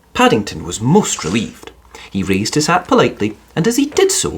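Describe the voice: A medium-pitched man's voice with a slightly husky edge, very wide pitch swings, and a moderate pace.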